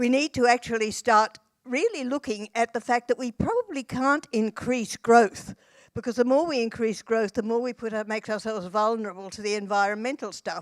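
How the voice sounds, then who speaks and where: In an Australian accent, a woman with a fairly high pitch talks at a fairly quick pace with ordinary pitch variation, the sound dry and close with no echo. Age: 80s+. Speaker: social policy academic and activist. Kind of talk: conference panel discussion.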